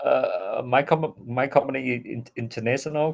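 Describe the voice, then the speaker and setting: A man speaks fairly slowly with a Vietnamese accent. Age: 40s. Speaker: English learner. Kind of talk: casual chat. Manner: halting.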